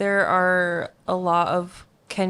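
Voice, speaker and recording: A woman's fairly low voice in a flat, monotone delivery. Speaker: youth leader, podcast co-host. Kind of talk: casual chat. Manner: not loud.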